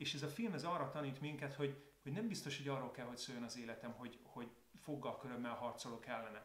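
Audible room echo surrounds a man's somewhat breathy voice. He talks very fast at a fairly high pitch. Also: ordinary pitch variation. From Hungary. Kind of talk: casual video talk to viewers. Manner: calmer, more reflective tone. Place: home room.

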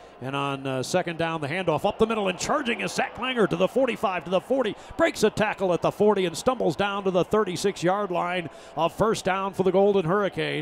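The speech moves at a fairly quick pace with ordinary pitch variation, set against noticeable background noise. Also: man, high pitch for a man. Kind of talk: live play-by-play football commentary over game highlights. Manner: even, steady and matter-of-fact, rising briefly at touchdowns.

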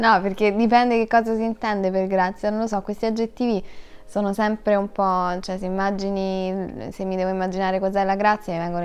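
A woman talks at a fairly quick pace. Her intonation is flat and monotone. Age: 20s. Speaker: actress; actress interviewee. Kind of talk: interview; interview answer. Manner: halting. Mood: relaxed, thoughtful. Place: studio.

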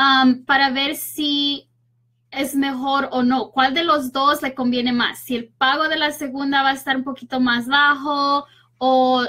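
At a fairly slow pace, a woman with a high pitch and a bright, sharp tone shows little pitch movement.

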